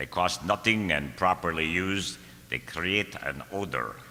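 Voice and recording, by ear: A man's put-on character voice, low-pitched with a bright, sharp tone, at a fairly slow pace. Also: lively intonation.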